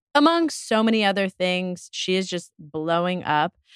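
In a very clean recording with a silent background and a dry, close sound with no echo, a woman with an ordinary speaking voice talks at a medium pitch and a fairly slow pace. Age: 40s. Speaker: wine shop owner and podcast host. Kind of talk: casual chat. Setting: studio.

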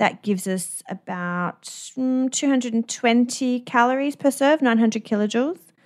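In an Australian accent, a woman speaks at a moderate pace with a high pitch and lively intonation. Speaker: dietitian podcast host. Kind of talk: casual chat.

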